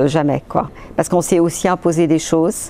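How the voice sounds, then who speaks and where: A woman's very deep, low voice with fairly even intonation over noticeable background noise. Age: 60s. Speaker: patient's spouse and amateur athlete. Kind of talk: testimony. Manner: halting, many hesitations.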